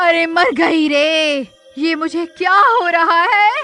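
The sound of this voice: Over faint music in the background, a woman performs a cartoonish character voice at extremely high pitch, slow in pace, with ordinary pitch variation and a bright, sharp tone.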